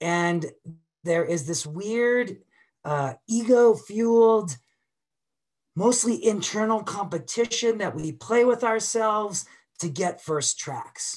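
A high-pitched man with an American accent, very slow pace, lively intonation, long and frequent pauses, and a quiet background. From Boston. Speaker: avalanche educator. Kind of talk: webinar presentation. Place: home room. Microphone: webcam.

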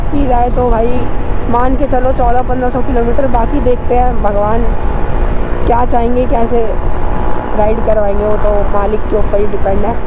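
Against loud background noise, a woman speaks with long, frequent pauses in a dry sound with no echo. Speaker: motovlogger. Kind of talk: casual vlog chat. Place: motorbike. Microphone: helmet.

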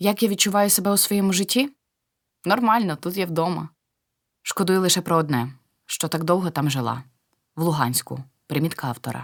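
A woman's fairly low voice with lively intonation, a moderate pace and long, frequent pauses, on a very clean recording with a silent background. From eastern Ukraine, Luhansk. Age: 60s. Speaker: war refugee, pensioner. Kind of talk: testimony.

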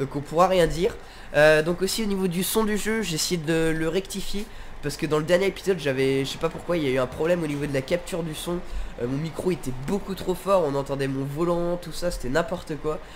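Speaking at a fairly quick pace, a man with a high voice uses ordinary pitch variation over noticeable background noise. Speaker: gaming YouTuber. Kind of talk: casual gameplay commentary. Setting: home recording, gameplay video. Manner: casual, chatty, friendly.

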